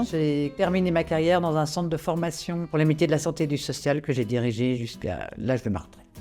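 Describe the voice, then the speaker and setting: A woman with a very deep, low voice talks at a fairly quick pace over music in the background. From France, Paris suburbs. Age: 60s. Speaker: retired pastor and director. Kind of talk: testimony. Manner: halting.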